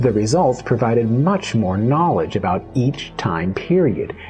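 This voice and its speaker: At a fairly slow pace, the speaker talks while music plays behind. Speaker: archaeologist. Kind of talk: educational lecture narration.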